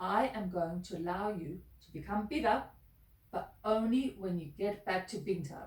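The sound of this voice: The voice is an unforced reading voice. Its pitch varies in an ordinary way.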